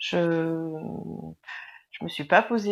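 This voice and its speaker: A woman talks at a fairly low pitch, keeping her intonation fairly even. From southern France. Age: 40s. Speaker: interviewee, single mother. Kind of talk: testimony interview.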